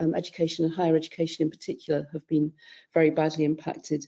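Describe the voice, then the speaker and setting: With a British accent, a woman speaks in a fairly low pitch and a dark, mellow tone. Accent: British accent, noticeable in the US. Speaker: panellist, scholarly publishing consultant. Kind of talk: webinar panel discussion.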